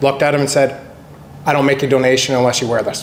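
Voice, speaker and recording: A man with a Canadian accent speaks at a medium pitch in a flat monotone, with noticeable background noise and audible room echo. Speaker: real estate agent. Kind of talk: panel discussion. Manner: loud.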